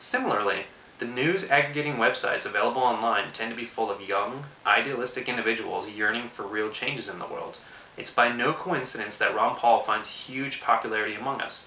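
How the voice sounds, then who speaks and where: A man with an American accent and medium pitch speaks at a fairly quick pace. There is audible room echo and noticeable background noise. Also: ordinary pitch variation. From Texas, Austin. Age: 20s. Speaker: political video blogger. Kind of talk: prepared political commentary monologue.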